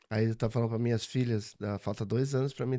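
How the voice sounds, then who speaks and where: Recorded very cleanly against a silent background, a man with a dark, mellow tone and medium pitch speaks with fairly even intonation. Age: 50s. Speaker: business owner and religious leader. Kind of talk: casual interview chat.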